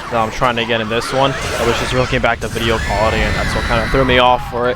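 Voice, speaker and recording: A man with a medium pitch speaks at a very fast pace in a flat monotone. Noticeable background noise and audible room echo fill the recording. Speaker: gaming streamer. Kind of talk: gameplay commentary.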